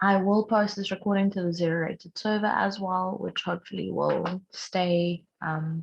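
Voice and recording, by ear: A woman talks at a moderate pace in a fairly low voice with vocal fry. Her pitch shows little movement.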